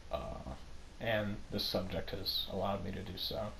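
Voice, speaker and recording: A man's voice carries audible room echo. Noticeable background noise sits behind it. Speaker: gaming commentator. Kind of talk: unscripted monologue. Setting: voiceover over gameplay. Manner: halting, with pauses and stumbles; casual, filler-heavy.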